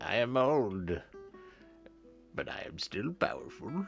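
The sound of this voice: In a put-on character voice at a low-to-middle pitch, the speaker goes at a fairly slow pace while clear music plays in the background.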